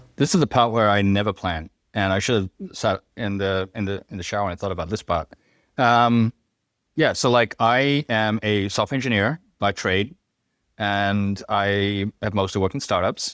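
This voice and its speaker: In a very clean recording with a silent background and a dry, close sound without echo, a man speaks at a moderate pace in a fairly low voice with ordinary pitch variation. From Hawaii, born in Fiji. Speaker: software engineer and startup tech leader. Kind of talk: casual chat.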